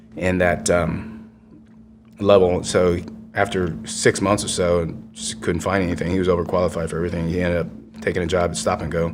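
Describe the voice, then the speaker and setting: A man's very deep, low voice with ordinary pitch variation at a fairly quick pace, with music in the background and audible room echo. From Vietnam, raised in Houston, Texas from age five. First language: Vietnamese. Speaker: war veteran. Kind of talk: interview.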